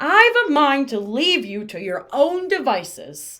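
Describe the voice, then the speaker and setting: A woman puts on a gruff, growling character voice at a high pitch with very wide pitch swings. She speaks at a fairly slow pace. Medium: read story. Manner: gruff, growling, grumbling.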